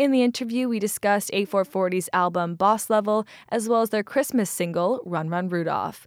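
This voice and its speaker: A woman with an ordinary speaking voice talks at a moderate pace and medium pitch with ordinary pitch variation, sounding dry and close with no echo on a very clean recording with a silent background. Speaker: radio host. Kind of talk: radio interview.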